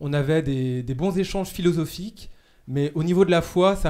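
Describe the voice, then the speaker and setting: On a very clean recording with a silent background, a man with fairly high pitch for a man talks at a moderate pace with fairly even intonation. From Brittany, Morbihan (France). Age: 30s. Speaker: seminarian. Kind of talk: casual chat. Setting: studio. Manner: halting.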